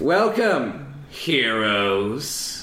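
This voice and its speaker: This is a put-on character voice with very wide pitch swings. An echo can be heard. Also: man, medium pitch for a man. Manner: dismissive; sarcastic.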